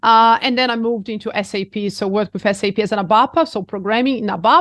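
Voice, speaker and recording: Talking very fast, a woman keeps a fairly high pitch with ordinary pitch variation. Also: quiet background. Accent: Brazilian. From Brazil, Rio de Janeiro. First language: Portuguese. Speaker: executive coach and mindfulness teacher. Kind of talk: interview conversation.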